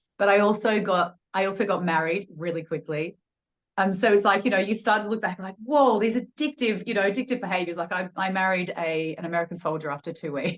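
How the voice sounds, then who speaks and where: With an Australian accent, a woman speaks at a fairly quick pace. Her pitch variation is ordinary. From Australia, Melbourne. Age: 40s. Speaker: personal trainer and wellness coach. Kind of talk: podcast interview, personal testimony. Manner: hesitant, many fillers.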